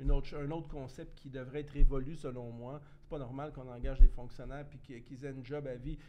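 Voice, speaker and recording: Speaking in a dark, mellow tone with monotone, flat intonation, a man with a fairly high pitch is heard amid audible room echo. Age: 50s. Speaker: former municipal politician. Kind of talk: casual chat.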